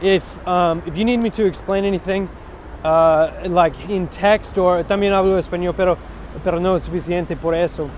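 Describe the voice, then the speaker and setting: A high-pitched man in monotone, flat intonation, against noticeable background noise. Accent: American. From US West Coast. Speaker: web developer. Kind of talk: tutorial. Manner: fast; halting, many fillers and restarts.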